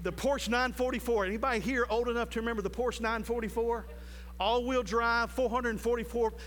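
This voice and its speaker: Man at an extremely high pitch, monotone and flat, fairly slow in pace, with audible room echo. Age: 50s. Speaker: preacher. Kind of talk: sermon. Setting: church with live congregation.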